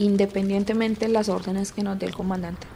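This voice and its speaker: This is a woman speaking. Her pitch is medium. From Colombia, rural Tolima. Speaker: former guerrilla, conflict victim. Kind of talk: testimony.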